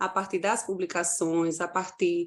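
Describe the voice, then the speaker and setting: Very wide pitch swings mark this delivery at a fairly slow pace. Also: woman. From Paraíba, Brazil (João Pessoa). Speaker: university lecturer. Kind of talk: conference presentation.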